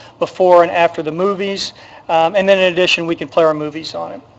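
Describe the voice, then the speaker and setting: Noticeable background noise sits behind a man with a high pitch speaking in a monotone, flat intonation. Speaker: city parks and events staff member. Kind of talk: council meeting presentation. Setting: city council chamber. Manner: halting, many fillers.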